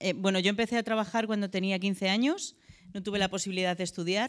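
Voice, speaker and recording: A woman's fairly even intonation over a quiet background. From Madrid, Spain; Spain. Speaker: abuse survivor and association co-founder. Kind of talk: church talk. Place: church. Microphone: handheld.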